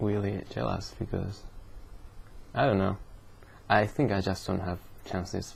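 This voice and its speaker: With a Japanese accent, a man speaks at a fairly low pitch with vocal fry. His pitch variation is ordinary. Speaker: vlogger. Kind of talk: casual vlog monologue. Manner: slow, repetitive; halting.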